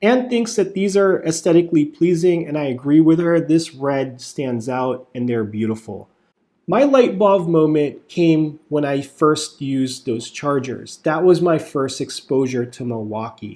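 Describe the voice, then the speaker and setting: Talking at a fairly slow pace, a man uses a fairly high pitch and lively intonation with a dark, mellow tone. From US South. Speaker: YouTube product reviewer. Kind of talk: product review. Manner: casual.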